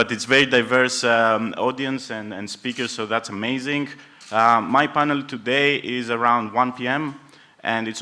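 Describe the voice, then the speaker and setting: A man with a Greek accent, medium pitch, a bright, sharp tone, fairly even intonation and a moderate pace. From Greece. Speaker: panel moderator. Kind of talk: conference pitch.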